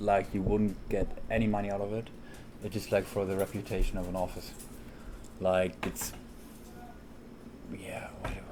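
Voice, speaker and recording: Over noticeable background noise, a man mumbles at a moderate pace in a fairly low, monotone, flat voice with long, frequent pauses. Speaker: architect. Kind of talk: casual chat. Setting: recorded on the road, single directional mic. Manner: mumbling.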